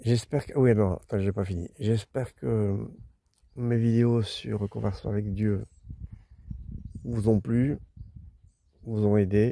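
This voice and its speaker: Very slowly and with long, frequent pauses, a man speaks at a fairly low pitch in a dark, mellow tone with fairly even intonation. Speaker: travel vlogger camping with his dog. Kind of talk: casual vlog talk to camera. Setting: outdoors by a lake. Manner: louder because of the wind.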